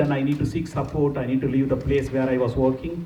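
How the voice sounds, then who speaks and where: Someone speaks with a Tamil accent, and room echo is audible. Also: man. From India, Pondicherry. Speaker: nurse manager, conference speaker. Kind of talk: conference talk. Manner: engaging, asks audience questions.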